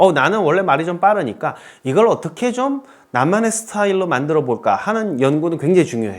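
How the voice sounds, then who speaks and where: Swinging very widely in pitch, a man talks high and fairly quickly. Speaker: English instructor lecturer. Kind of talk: lecture. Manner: not fast-paced.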